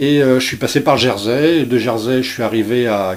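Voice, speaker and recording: Here a man speaks at a medium pitch and a moderate pace. The variation in his pitch is ordinary. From France, Brittany (Dinard). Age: 60s. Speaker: chef. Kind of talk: radio interview. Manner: halting, many hesitations.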